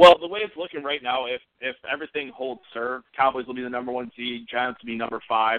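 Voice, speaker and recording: Using a plain, everyday voice, a man with an American accent speaks at a medium pitch and a fairly quick pace with hardly any pauses and ordinary pitch variation. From Central New York. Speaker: sports podcast co-host. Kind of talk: casual chat.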